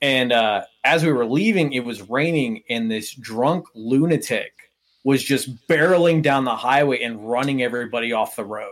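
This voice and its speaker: A man with a normal speaking voice, an American accent, medium pitch, ordinary pitch variation, a moderate pace and hardly any pauses. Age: 20s. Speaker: airsoft player. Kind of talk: casual chat.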